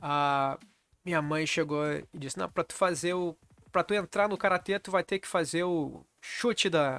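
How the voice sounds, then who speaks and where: At a moderate pace, a man speaks with high pitch, a bright, sharp tone and fairly even intonation. The recording is very clean, dry and close, with a silent background and no echo. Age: 40s. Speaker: karate channel host. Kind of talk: casual vlog monologue.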